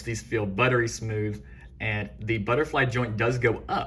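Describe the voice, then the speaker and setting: With an excited tone, a man speaks shakily at a fairly low pitch with ordinary pitch variation and audible room echo. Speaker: toy figure reviewer. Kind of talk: product review tutorial. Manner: hesitant fillers; shaky, excited voice.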